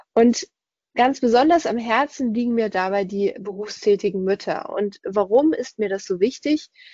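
A woman's unremarkable speaking voice, an unremarkable speaking voice at a fairly high pitch, moderate in pace with ordinary pitch variation. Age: 30s. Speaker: podcast host and work coach. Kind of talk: recorded webinar presentation.

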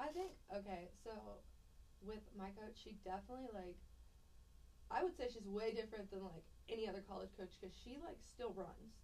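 In an audibly echoing room, a woman with an American accent speaks with long, frequent pauses. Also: moderate pace. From Texas (Cypress, near Houston), earlier Pittsburgh. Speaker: college athlete. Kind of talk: casual interview.

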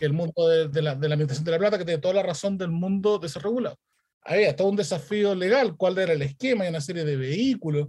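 Very fast speech comes from a man with a high voice. His pitch varies in an ordinary way. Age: 40s. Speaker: startup founder. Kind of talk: interview.

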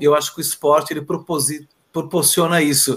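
Speaking at a moderate pace, a man talks. His pitch is fairly high. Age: 50s. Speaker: school teacher. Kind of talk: casual interview chat.

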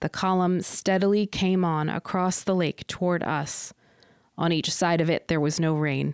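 The loudness stays very even, and the intonation is monotone and flat. The sound is dry and close with no echo, on a very clean recording with a silent background. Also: woman, fairly low pitch for a woman. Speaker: podcast host. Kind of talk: poem reading aloud, then casual chat. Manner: measured, deliberate, expressive poem reading.

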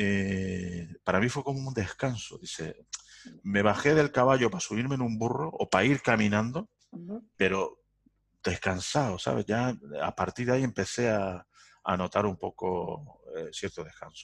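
A man's plain, everyday voice at a medium pitch, fairly slow in pace, with lively intonation. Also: dry, close sound with no echo. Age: 50s. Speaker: entrepreneur. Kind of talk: interview.

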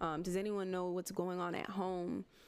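A woman with an American accent, medium pitch and a moderate pace. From Miami, Florida. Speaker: podcast co-host. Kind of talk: casual chat. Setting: livestream with live chat.

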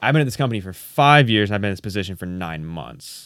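A man with an American accent speaks in a normal speaking voice, fairly low in pitch, with lively intonation. The recording is very clean, the background silent. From Indiana. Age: 20s. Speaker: YouTuber and photographer. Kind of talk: casual chat.

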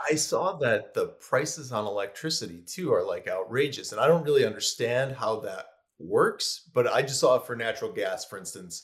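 A man with a Buffalo accent speaks with hardly any pauses. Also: moderate pace. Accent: Western New York (Buffalo) American. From US, Buffalo, New York. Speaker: food blogger and recipe creator. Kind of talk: casual interview chat.

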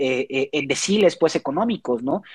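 A man at a fairly slow pace, with a dry, close sound and no echo. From Mexico, Xalapa, Veracruz. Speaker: philosophy doctoral student and university lecturer. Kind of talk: casual interview. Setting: at home, remote call.

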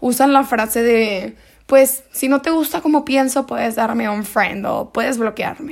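A woman with a high voice talks at a fairly slow pace, her pitch varying in an ordinary way. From Mexico, Monterrey, Nuevo León. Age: 20s. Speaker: podcast host. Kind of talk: solo podcast monologue on philosophy.

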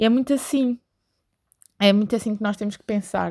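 A woman with a European Portuguese accent speaks at a moderate pace, medium in pitch with a dark, mellow tone. The recording is very clean, with a silent background. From Portugal. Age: 20s. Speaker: podcaster. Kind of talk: solo monologue.

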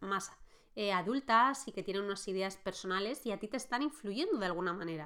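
Recorded very cleanly against a silent background, a woman speaks at a medium pitch in a bright, sharp tone. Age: 30s. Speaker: life coach, podcast host. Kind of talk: solo podcast monologue on personal growth. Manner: halting, many fillers and restarts.

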